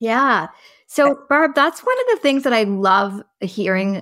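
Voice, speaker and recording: A woman with a normal speaking voice, lively intonation and a fairly slow pace, in a very clean recording with a silent background. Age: 40s. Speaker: podcast host. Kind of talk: casual interview chat.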